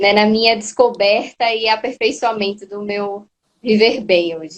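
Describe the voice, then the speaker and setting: At a fairly slow pace, a woman with an unremarkable speaking voice and a fairly high pitch talks with fairly even intonation and big swings in loudness. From Brazil, Recife, Pernambuco. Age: 20s. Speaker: course student, patient. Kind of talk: interview testimony.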